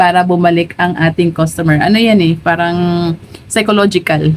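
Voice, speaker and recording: A woman speaks at a moderate pace in a fairly low pitch with fairly even intonation. Noticeable background noise runs underneath. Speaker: sari-sari store owner and vlogger. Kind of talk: casual vlog tutorial. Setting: inside her store. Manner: chatty, frequent fillers and hesitations.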